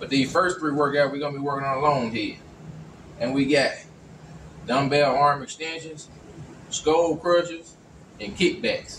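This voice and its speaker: With audible room echo and light background noise, a man speaks at a moderate pace, leaving long, frequent pauses. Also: ordinary pitch variation. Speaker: fitness trainer. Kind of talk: tutorial. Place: gym. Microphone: camera far.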